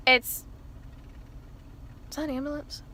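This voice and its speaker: A woman's voice in an animated tone. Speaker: vlogger. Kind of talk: casual chat. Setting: in a car.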